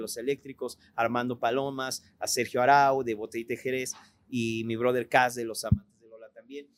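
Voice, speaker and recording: A man at a medium pitch, fairly quick pace and monotone, flat intonation. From Mexico, partly raised in Italy. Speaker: rock musician. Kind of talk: casual interview chat.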